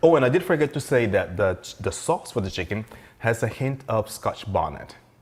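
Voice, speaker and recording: At a fairly quick pace, a man speaks at a medium pitch, somewhat breathy, with lively intonation. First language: Spanish. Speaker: chef. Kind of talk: casual chat; cooking demonstration.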